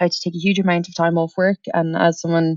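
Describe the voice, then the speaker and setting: Speaking at a fairly quick pace, a woman with an American accent has a fairly low pitch. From Ireland, Dublin. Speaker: startup founder. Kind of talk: podcast interview. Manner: energetic.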